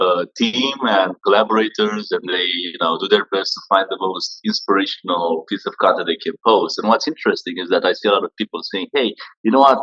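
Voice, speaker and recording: Talking at a fairly quick pace with hardly any pauses, a man comes through with a dry, close sound that has no echo. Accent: Romanian. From Romania. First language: Romanian. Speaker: social media entrepreneur. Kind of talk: interview.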